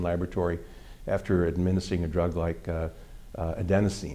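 Very deep and low, a man's dark, mellow voice moves at a moderate pace. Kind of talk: interview answer.

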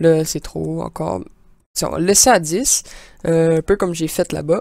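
On a very clean, dry, close recording with no echo and a silent background, a woman speaks with a Quebec accent. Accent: Québécois French. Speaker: gaming YouTuber, amateur game developer. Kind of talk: tutorial. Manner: halting, many fillers.

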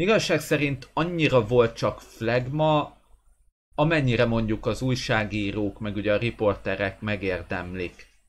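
Here a man speaks at a fairly slow pace. His intonation is lively. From Hungary. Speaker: goalkeeper coach and sports channel host; goalkeeping blogger, coach. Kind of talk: live stream chat with viewers. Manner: hesitant with fillers. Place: home room. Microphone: webcam.

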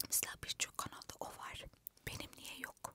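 A woman whispers. Her pace is very slow. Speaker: ASMR content creator. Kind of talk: casual talk to camera. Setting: inside a parked car. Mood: reflective, self-questioning. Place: car. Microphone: handheld.

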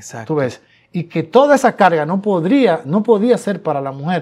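A man's voice with lively intonation. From Dominican Republic, Tamayo, Bahoruco; Dominican Republic. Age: 60s. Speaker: songwriter and singer; guest. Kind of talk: interview. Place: studio. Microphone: lapel.

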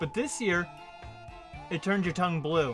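A man's voice over clear background music. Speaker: content creator. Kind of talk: casual vlog chat. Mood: upbeat, relaxed. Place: home room.

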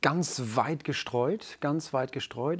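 This man speaks with ordinary pitch variation. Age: 40s. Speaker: men's coach. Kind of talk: casual chat. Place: studio. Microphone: lapel.

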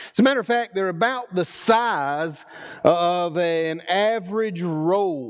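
Music plays behind a man speaking in a Southern US accent at a high pitch. He talks at a very slow pace with ordinary pitch variation. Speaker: preacher. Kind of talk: sermon. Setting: church. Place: church.

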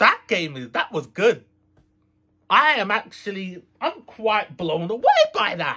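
A man's raised, projected voice, bright and sharp in tone, with very wide pitch swings, at a fairly slow pace over a quiet background. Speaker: gaming video creator. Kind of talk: casual vlog chat. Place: home room.

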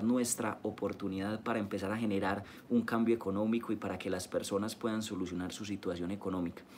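Light background noise sits under speech at a fairly quick pace, with hardly any pauses. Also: man. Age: 20s. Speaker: network marketing leader. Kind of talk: live-streamed training talk. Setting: live stream. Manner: animated. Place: home room. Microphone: phone near.

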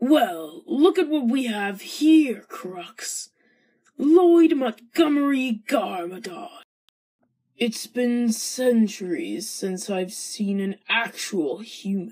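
Using a put-on character voice, a woman speaks at a very slow pace, fairly high-pitched, with very wide pitch swings and big swings in loudness. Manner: sneering, mocking.

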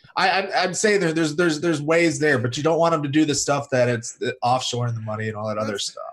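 Against noticeable background noise, a man with a fairly high pitch races along at a very fast pace with hardly any pauses and lively intonation. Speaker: YouTube commentator. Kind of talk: casual panel discussion.

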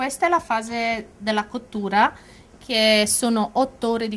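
A woman speaks in a normal speaking voice at a fairly high pitch. Her pace is fairly slow, with ordinary pitch variation. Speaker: production manager. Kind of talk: interview. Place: workshop. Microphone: handheld.

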